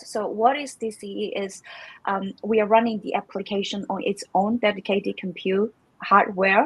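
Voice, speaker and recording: A somewhat breathy woman's voice with a Chinese accent. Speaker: crypto community manager. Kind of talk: live stream interview. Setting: live stream. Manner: halting, many fillers.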